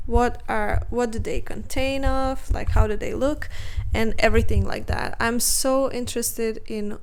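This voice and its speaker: In a non-native accent, a woman talks fairly slowly with audible room echo. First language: not English. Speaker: art youtuber. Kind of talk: casual chat while drawing. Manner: hesitant, many fillers.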